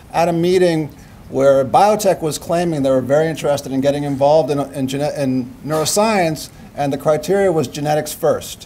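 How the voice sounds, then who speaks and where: Speaking at a fairly quick pace, a man with a fairly high pitch and ordinary pitch variation is heard with audible room echo. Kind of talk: lecture. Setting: stage with audience.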